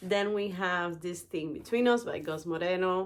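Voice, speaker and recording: A woman talks with a non-native accent. Her pitch varies in an ordinary way. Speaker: book YouTuber. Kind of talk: casual vlog, book haul. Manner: animated, enthusiastic.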